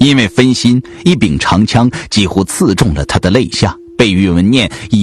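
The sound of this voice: This is a reading voice. It sounds unforced.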